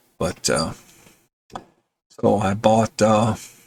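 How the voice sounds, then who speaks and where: With a relaxed tone and vocal fry, a man talks in a fairly low pitch with ordinary pitch variation. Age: 60s. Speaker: gamer and YouTuber. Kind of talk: casual update vlog. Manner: relaxed with many fillers.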